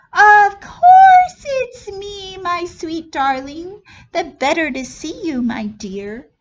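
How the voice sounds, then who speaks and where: A squeaky, put-on character voice from a woman, extremely high in pitch, raised and projected, at a very slow pace. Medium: read story.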